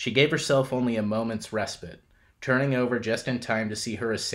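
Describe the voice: This is plain reading aloud. The intonation is fairly even.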